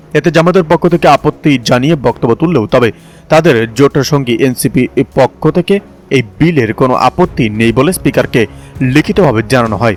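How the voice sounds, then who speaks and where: A man talks at a fairly high pitch with lively intonation and very even loudness. Music plays in the background. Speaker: voice-over artist. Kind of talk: news read.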